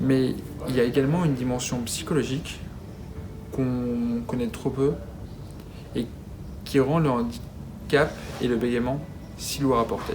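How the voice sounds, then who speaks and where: The speech moves at a fairly slow pace with long, frequent pauses and ordinary pitch variation. Noticeable background noise runs underneath. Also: man, medium pitch for a man. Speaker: stuttering awareness advocate. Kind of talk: testimonial talk to camera. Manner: stutters.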